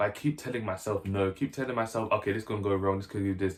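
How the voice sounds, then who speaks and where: A man talks in a somewhat breathy voice. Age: 20s. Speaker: YouTuber. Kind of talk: casual vlog talk to camera. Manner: casual, filler-heavy.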